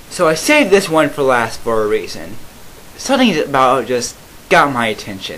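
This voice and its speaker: A man talks at a moderate pace with very wide pitch swings over noticeable background noise. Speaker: YouTuber reacting to comments. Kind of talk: commentary reading comments. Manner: halting.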